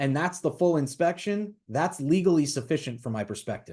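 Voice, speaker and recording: A man speaks with a dark, mellow tone in a fairly high pitch. His pitch varies in an ordinary way, and the background is quiet. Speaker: attorney instructor. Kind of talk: lecture. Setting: webinar. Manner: fast.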